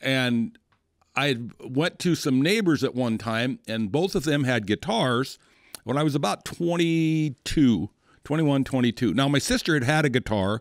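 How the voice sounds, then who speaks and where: A man with an American accent at medium pitch, lively intonation and a moderate pace, in a dry, close recording with no echo and a very clean, silent background. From western South Dakota. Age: 60s. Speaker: rancher and cowboy poet musician. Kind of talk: casual interview chat. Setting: studio.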